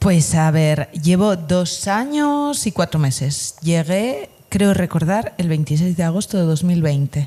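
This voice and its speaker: Speaking at a very slow pace with hardly any pauses, a woman with a Spanish accent uses a fairly low, somewhat breathy voice, lively intonation and very even loudness. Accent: Spanish (Spain) accent, noticeable. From Spain, Asturias. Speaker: Spanish teacher, emigrant. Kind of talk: casual interview chat.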